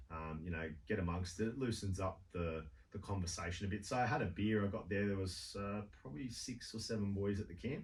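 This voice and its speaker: In an Australian accent, a man with a very deep, low pitch and ordinary pitch variation talks at a fairly quick pace, somewhat breathy, amid audible room echo. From Sydney, Australia. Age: 40s. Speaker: walker on a charity trek. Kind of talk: radio interview. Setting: radio studio.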